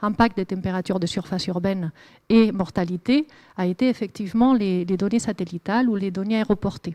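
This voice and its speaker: Dry and close with no echo, a woman's voice carries a dark, mellow tone. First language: Spanish (speaking French). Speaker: climate researcher. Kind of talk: lecture. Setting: lecture hall with audience. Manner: hesitant, many fillers.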